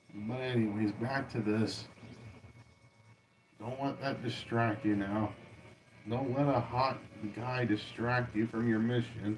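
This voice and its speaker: A man speaks at a very slow pace with long, frequent pauses, medium pitch and monotone, flat intonation. There is audible room echo. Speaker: cartoon reaction livestreamer. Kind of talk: reaction livestream commentary. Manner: loud.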